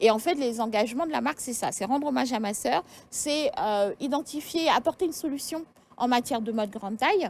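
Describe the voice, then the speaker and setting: High-pitched female speech delivered at a fairly quick pace. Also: lively intonation. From Senegal. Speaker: fashion blogger and author. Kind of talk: TV interview. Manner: hesitant, many fillers.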